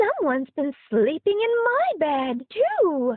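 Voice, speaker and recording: A woman's put-on, squeaky character voice, extremely high, with very wide pitch swings and a fairly slow pace. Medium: read story.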